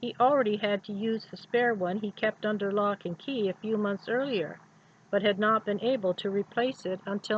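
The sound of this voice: This is an unforced reading voice. The intonation is fairly even.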